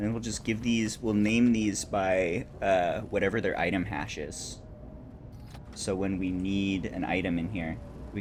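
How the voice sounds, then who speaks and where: Moderate pace with audible room echo. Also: man. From California. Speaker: video game streamer. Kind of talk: casual live-stream chat and gameplay commentary. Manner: relaxed.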